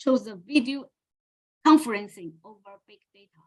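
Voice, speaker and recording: Raised, projected woman's voice, high in pitch with a bright, sharp tone, at a moderate pace. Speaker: academic presenter. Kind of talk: conference presentation.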